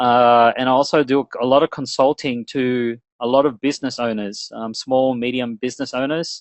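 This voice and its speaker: A man with an Australian accent talks at medium pitch with fairly even intonation, the sound dry and close with no echo over a quiet background. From Australia, Melbourne. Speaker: webinar presenter, business and internet marketing strategist. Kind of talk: webinar presentation. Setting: online webinar.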